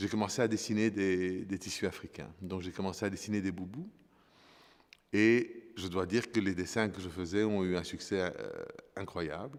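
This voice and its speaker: Here a man speaks at a fairly low pitch with fairly even intonation. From Congo, then Brussels. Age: 60s. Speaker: fashion designer. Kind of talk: interview. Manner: halting, many hesitations.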